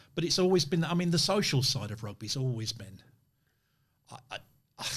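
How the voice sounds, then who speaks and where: A man with lively intonation and a somewhat breathy sound, at a fairly quick pace. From northern England. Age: 60s. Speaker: podcast host. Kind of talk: interview conversation.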